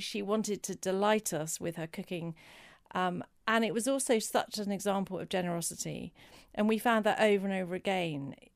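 Medium-pitched woman with an English accent, ordinary pitch variation and a moderate pace, on a very clean recording with a silent background. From England. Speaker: cookbook author and charity worker. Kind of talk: interview.

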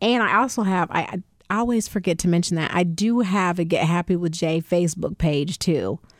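A woman with an unremarkable speaking voice talks at a medium pitch and moderate pace. The sound is dry and close with no echo, in a very clean recording with a silent background. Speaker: podcast host. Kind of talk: casual conversational interview.

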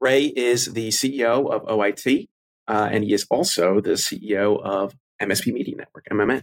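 A man with a plain, everyday voice talks at a fairly slow pace and medium pitch with ordinary pitch variation. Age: 20s. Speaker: podcast host, security company CEO. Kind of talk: casual interview.

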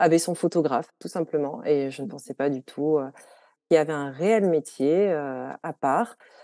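Over a quiet background, a woman with a very deep, low pitch and a dark, mellow tone speaks at a fairly slow pace with ordinary pitch variation, the sound dry and close with no echo. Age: 30s. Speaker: food photographer and magazine co-founder. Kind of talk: casual interview.

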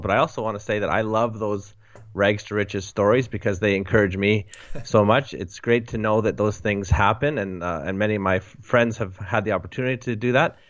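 A man with a Canadian accent speaks at a fairly quick pace in a fairly low voice. His is an unremarkable speaking voice with ordinary pitch variation. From Western Canada. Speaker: author and blogger, church leader. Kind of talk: interview.

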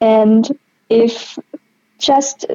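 In a German accent, a woman speaks with fairly even intonation, the sound dry and close with no echo. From Austria. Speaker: patient sharing her illness story. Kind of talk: interview.

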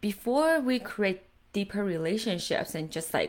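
At a fairly slow pace, a woman with a plain, everyday voice speaks at medium pitch. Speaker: podcast host and coach. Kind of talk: training session / coaching talk. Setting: video call.

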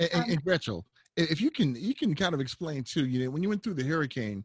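Speaking very fast with an American accent, a man has a fairly high pitch and a somewhat breathy sound. His pitch swings very widely. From Southern California. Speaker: podcast host. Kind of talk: moderated panel discussion.

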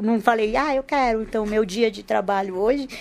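A woman with a fairly high pitch talks at a moderate pace, her intonation fairly even. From Rio de Janeiro, Brazil. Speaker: speech therapist. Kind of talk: casual chat.

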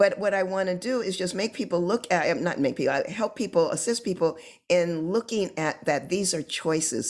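A woman with an American accent and an unremarkable speaking voice talks at a fairly low pitch and moderate pace. The recording is very clean, with a silent background. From Southern California. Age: 60s. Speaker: social entrepreneur and activist. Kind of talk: interview.

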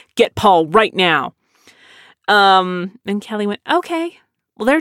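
On a very clean, dry and close recording with no echo and a silent background, a woman with an American accent and medium pitch speaks at a moderate pace with very wide pitch swings. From South Texas. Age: 30s. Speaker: podcast host and voice actor. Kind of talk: casual solo chat. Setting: home studio.

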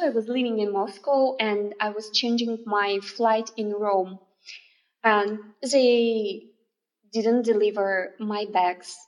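A woman with a non-native accent speaks at a very slow pace and a fairly high pitch, with fairly even intonation and long, frequent pauses. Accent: non-native English, self-described imperfect. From Russia. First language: Russian. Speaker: oriental dance artist and teacher. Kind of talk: interview. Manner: halting.

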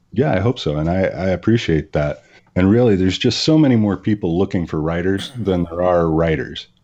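A man with an American accent speaks at a fairly quick pace in a very deep, low voice, his tone dark and mellow and his intonation lively. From Virginia. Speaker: author and editor. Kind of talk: casual interview. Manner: halting, many fillers.

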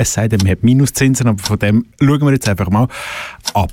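This somewhat breathy voice has a dark, mellow tone and a dry, close sound with no echo. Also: man. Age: young. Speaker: radio host. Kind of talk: casual chat. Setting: studio.

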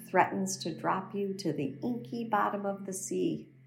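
A woman speaks at a very slow pace in a soothing, gentle tone. Background noise is noticeable. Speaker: meditation teacher. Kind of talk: guided meditation. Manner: slow, soothing and gentle; calm, unhurried, warm.

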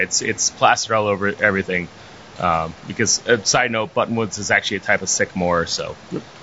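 Noticeable background noise sits behind a man talking at a fairly quick pace. He has an American accent and a medium pitch. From northern Virginia, outside D.C. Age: 30s. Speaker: brewery owner. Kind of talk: interview. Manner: hesitant, many fillers.

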